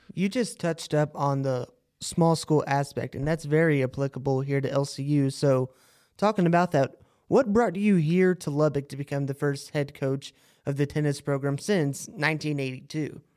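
A man at a moderate pace with ordinary pitch variation, in a very clean recording with a silent background. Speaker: student podcast host. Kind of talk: interview.

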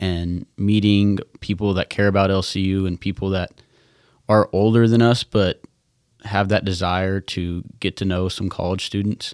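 A man's fairly low voice with an American accent, flat monotone delivery and a moderate pace, in a very clean recording over a silent background. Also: dry, close sound with no echo. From Texas (Lubbock). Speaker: college student, scholarship recipient. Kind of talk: casual chat. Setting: studio.

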